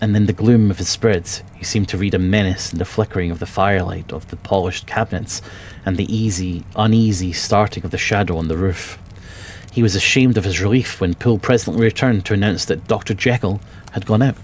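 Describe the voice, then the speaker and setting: A man with a Scottish accent talks at a very fast pace in a fairly low pitch, his intonation fairly even, over noticeable background noise. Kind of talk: audiobook reading.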